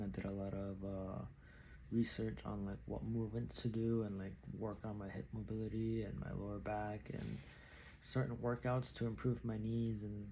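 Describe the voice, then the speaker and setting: Soft-spoken and at a moderate pace, a man talks with audible room echo around him. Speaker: vlogger, amateur runner. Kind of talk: casual vlog monologue. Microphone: new microphone.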